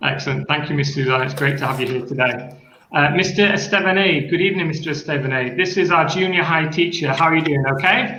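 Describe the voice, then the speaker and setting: Speaking in a northern English accent, a man has a fairly high pitch. He goes at a fairly quick pace with ordinary pitch variation. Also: hardly any pauses. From northern England, Sheffield. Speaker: school coordinator and teacher. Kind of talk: online panel discussion.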